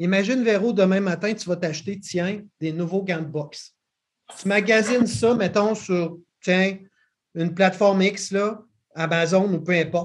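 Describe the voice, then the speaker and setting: A man with a Quebec accent speaks at a high pitch and a fairly slow pace. His intonation stays fairly even, broken by long, frequent pauses. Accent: Québécois French. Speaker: podcast host. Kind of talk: casual interview.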